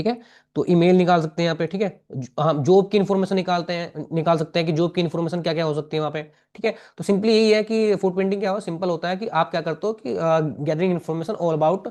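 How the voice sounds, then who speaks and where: A man with a high voice speaks in a fairly even tone, hardly pausing at all. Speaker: cybersecurity instructor. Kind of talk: tutorial. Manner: fast; halting, many fillers and restarts.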